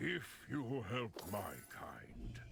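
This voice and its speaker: A put-on character voice, rumbling, over clear background noise. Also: man, medium pitch for a man. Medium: video game. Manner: calm, solemn, measured.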